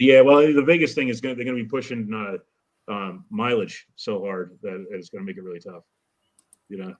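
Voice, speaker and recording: In a plain, everyday voice, a man speaks fairly quickly at medium pitch with ordinary pitch variation. His loudness swings widely. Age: 40s. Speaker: car builder on a live panel. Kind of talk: casual chat.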